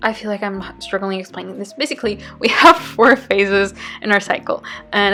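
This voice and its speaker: A woman with a non-native accent and a medium pitch talks at a fairly quick pace with ordinary pitch variation as music plays in the background. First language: not English. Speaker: bullet journal vlogger. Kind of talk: tutorial. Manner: halting.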